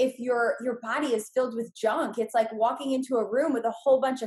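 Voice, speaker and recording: Moving at a fairly quick pace, a woman speaks in a normal speaking voice with a fairly high pitch. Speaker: real estate investor and trainer. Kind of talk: podcast interview.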